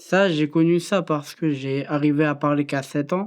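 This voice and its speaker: A woman speaks at a very deep, low pitch with fairly even intonation. The background is quiet. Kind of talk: testimony. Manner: sometimes stumbles on words.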